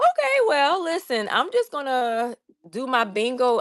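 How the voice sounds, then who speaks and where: A woman in a Southern US accent, animated in tone, with lively intonation. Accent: Southern US, country. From US South, Savannah, Georgia. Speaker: crafting livestreamer. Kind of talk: casual livestream chat while crafting.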